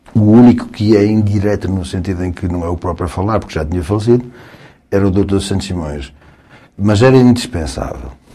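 In an unremarkable speaking voice, a man talks at a fairly quick pace, fairly low in pitch with ordinary variation. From northern Portugal, Guimarães. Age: 60s. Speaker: lawyer. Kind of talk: casual chat.

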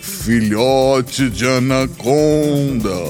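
With clear music in the background, a man uses a put-on character voice at medium pitch and a very slow pace. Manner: booming, solemn.

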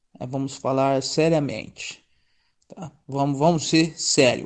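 This man's voice is fairly high in pitch, with fairly even intonation. He talks at a very slow pace. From Presidente Prudente, São Paulo state, Brazil. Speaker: musician and meme page admin. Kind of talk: casual chat. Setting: voice messages over WhatsApp.

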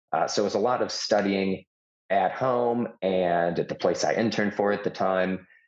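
With an American accent, a man talks in an unremarkable speaking voice, his pitch fairly low, his intonation fairly even and his loudness very even throughout. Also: moderate pace. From Chicago, US Midwest. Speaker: conservative student activist. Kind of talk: interview storytelling.

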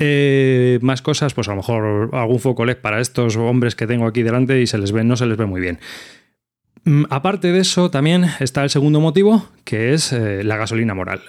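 A man with medium pitch uses an ordinary speaking voice with lively intonation at a moderate pace. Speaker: podcast host. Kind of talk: casual chat. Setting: video call.

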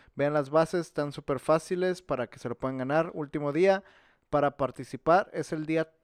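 An unremarkable speaking voice comes from a man with fairly high pitch and fairly even intonation at a moderate pace. The sound is dry and close with no echo, showing big swings in loudness over a quiet background. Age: 20s. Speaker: podcast co-host. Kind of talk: casual chat.

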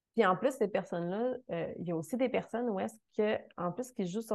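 This woman speaks with a Quebec accent at a moderate pace. Her pitch varies in an ordinary way. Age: 30s. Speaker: fitness coach. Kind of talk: interview.

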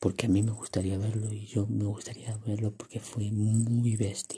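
Words come out at a fairly slow pace. They carry a Spanish accent. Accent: Peninsular Spanish. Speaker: film news podcaster. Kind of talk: casual monologue. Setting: unedited solo recording. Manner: halting.

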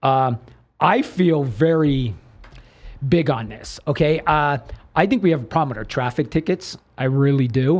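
Against a quiet background, a man with a fairly high pitch talks at a moderate pace with ordinary pitch variation and long, frequent pauses. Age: 50s. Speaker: podcast co-host. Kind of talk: casual interview chat.

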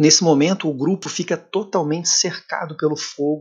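A man talks at a moderate pace. His pitch is fairly high. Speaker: local news host. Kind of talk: news report with commentary. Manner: hesitant, filler-heavy.

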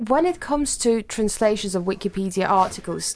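A woman uses a normal speaking voice at medium pitch, moving at a fairly slow pace with lively intonation. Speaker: podcast co-host, research student. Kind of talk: interview.

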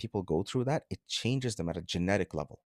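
A man talks at a very fast pace with lively intonation. The sound is dry and close with no echo, on a very clean recording with a silent background. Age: 30s. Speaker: strength and conditioning coach. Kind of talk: casual interview.

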